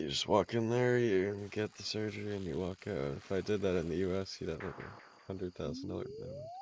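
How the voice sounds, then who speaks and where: A man speaks fairly quickly in a fairly low register. His pitch moves in an ordinary way, with noticeable noise behind him. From Canada, Calgary. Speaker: video game streamer. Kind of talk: casual live-stream chat while gaming. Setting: live stream.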